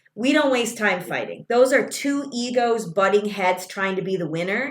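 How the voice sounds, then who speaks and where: This woman's voice sits fairly high and sounds animated, moving at a moderate pace with ordinary pitch variation. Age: 40s. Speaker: spiritual mentor and show host. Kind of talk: casual interview chat. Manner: loud.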